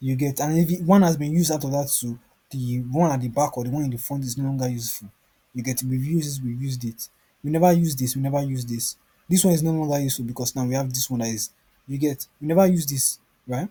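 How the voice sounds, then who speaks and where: At a very fast pace, a man with a fairly high pitch talks in a dark, mellow, somewhat breathy tone with ordinary pitch variation. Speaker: forex trading tutor. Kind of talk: screen-share trading tutorial. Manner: casual, rambling self-questioning.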